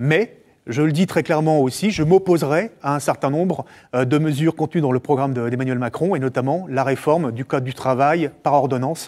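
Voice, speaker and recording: Against a quiet background, a man speaks at a fairly quick pace in a fairly high pitch with ordinary pitch variation. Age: 40s. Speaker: politician; candidate. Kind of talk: campaign interview. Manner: hesitant with frequent fillers. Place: studio. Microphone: lapel.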